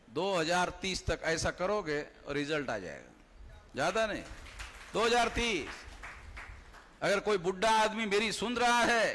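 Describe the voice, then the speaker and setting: In a raised, projected voice, a man speaks at a high pitch with very wide pitch swings. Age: 60s. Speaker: political activist. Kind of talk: political rally speech. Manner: animated.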